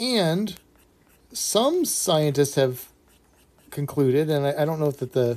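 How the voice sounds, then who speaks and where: Fairly high in pitch, a man's voice carries a dark, mellow tone. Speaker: illustrator. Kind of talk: live stream chat while drawing. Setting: live stream. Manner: halting, stutters while drawing; casual, many fillers.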